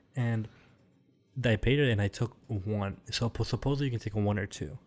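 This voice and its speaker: Against music in the background, a man with an American accent speaks at a medium pitch and a moderate pace with ordinary pitch variation. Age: 20s. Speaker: podcast co-host. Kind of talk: casual chat.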